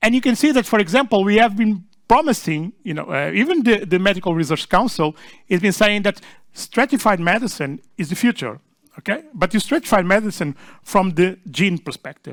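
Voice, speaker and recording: On a very clean recording with a silent background, a man with a Portuguese accent talks at a fairly quick pace. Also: lively intonation. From Portugal. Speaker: session chair and research group leader. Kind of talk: conference talk. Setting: small conference room with audience. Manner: halting, many fillers and restarts.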